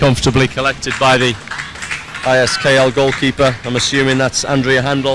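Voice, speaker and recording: Noticeable background noise accompanies a man speaking at a fairly quick pace. His loudness stays very even and his intonation is monotone and flat. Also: medium pitch for a man. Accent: Teesside. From northeast England, Middlesbrough. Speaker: sports commentator. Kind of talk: live commentary.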